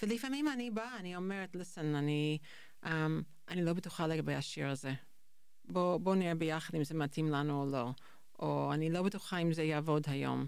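A woman speaks with a non-native accent. Her pitch is very deep and low. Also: ordinary pitch variation, moderate pace. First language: not Hebrew (speaking Hebrew). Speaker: high school English teacher. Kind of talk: interview conversation. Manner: halting.

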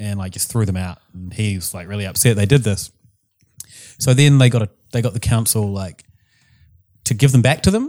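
A man with a New Zealand accent speaks at a fairly quick pace and fairly low pitch, with long, frequent pauses and big swings in loudness, in a very clean recording with a silent background. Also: ordinary pitch variation. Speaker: podcast co-host. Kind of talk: casual chat.

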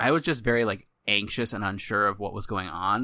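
On a very clean recording with a silent background, a man talks at a fairly quick pace in a bright, sharp tone. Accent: American. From Arizona. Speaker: podcast host. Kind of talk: casual chat.

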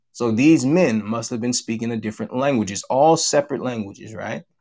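Speaking in an ordinary speaking voice, a man talks at a fairly quick pace with lively intonation and medium pitch, in a very clean recording with a silent background. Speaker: church teacher. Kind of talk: religious lesson. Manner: formal, repetitive.

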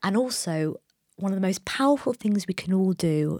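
A woman talks. The audio is dry and close, without any echo. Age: 40s. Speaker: interior designer. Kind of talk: casual chat. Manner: halting.

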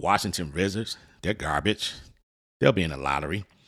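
In a very clean recording with a silent background, a man with an American accent speaks fairly quickly in a very deep, low pitch, animated in tone, with lively intonation and vocal fry. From Detroit, US Midwest. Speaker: sports podcast host. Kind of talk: casual monologue.

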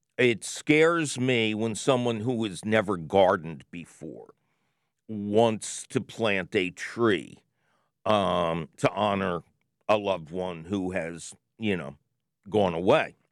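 This man's fairly low voice moves with lively intonation at a very slow pace. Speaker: radio host. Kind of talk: scripted intro then casual call-in chat. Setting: studio. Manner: animated, playful, jokey.

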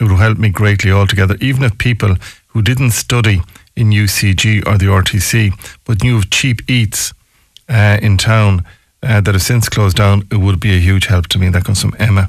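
A somewhat breathy voice with a western Irish accent holds fairly even intonation and very even loudness. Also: man, fairly low pitch for a man, moderate pace. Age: 60s. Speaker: local radio talk show host. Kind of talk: radio talk show. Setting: radio studio.

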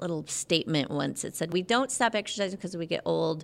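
A woman talks in a fairly low pitch with ordinary pitch variation. Her voice carries vocal fry. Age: 50s. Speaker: personal trainer. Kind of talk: casual chat.

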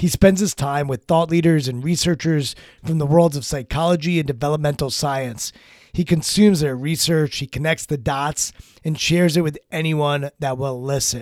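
A man with an American accent has an ordinary speaking voice. His pitch is fairly high and his pace moderate. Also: fairly even intonation. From Maryland. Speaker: podcast host and executive coach. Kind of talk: casual interview; podcast intro narration.

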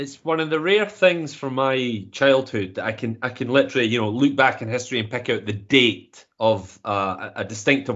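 At a fairly quick pace with hardly any pauses, a man speaks at a medium pitch with lively intonation. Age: 40s. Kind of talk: casual chat. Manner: animated.

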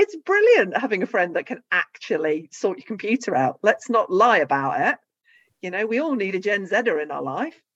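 Vocal fry and very wide pitch swings stand out in a dry, close sound with no echo. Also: woman. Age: 50s. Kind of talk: casual chat.

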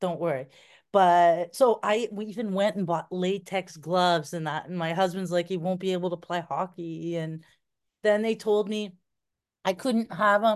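Against a quiet background, a woman with a normal speaking voice talks at a medium pitch and a fairly slow pace with fairly even intonation. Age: 50s. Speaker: adoptive mother. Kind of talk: casual chat.

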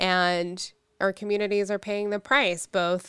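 A woman speaks in a normal speaking voice with an American accent. Her pace is fairly slow on a very clean recording with a silent background. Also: dry, close sound with no echo. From Pittsburgh, Pennsylvania. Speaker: state legislator. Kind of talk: interview.

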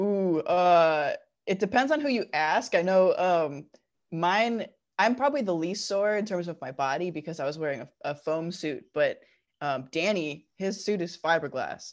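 A woman talks at a fairly low pitch with lively intonation, over a quiet background. It is an unremarkable speaking voice. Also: moderate pace. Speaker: cosplayer and prop maker. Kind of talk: casual interview chat.

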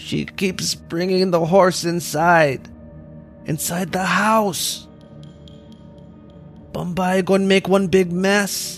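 A man puts on a character voice that is shaky and high-pitched, with monotone, flat intonation. He speaks at a very slow pace with long, frequent pauses, and clear music plays in the background.

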